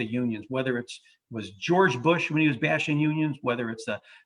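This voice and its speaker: A man speaks in an unremarkable speaking voice with an American accent at a medium pitch. He goes at a fairly quick pace with ordinary pitch variation. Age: 60s. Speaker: lawyer. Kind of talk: panel discussion.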